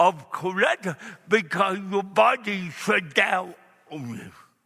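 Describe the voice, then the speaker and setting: Over noticeable background noise, a man with a high pitch uses a raised, projected voice, speaking at a very slow pace with lively intonation. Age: 60s. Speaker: evangelist. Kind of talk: sermon. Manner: halting.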